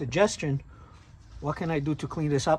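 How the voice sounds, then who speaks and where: A man with a Brazilian accent speaks at a moderate pace in a fairly high pitch. His voice is somewhat breathy, with fairly even intonation. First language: Portuguese. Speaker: tow truck owner and vlogger. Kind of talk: casual tutorial. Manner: halting, many fillers.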